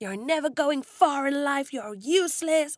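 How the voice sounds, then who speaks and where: At a moderate pace, a female-sounding voice puts on a character voice at a high pitch. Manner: harsh, contemptuous, scolding.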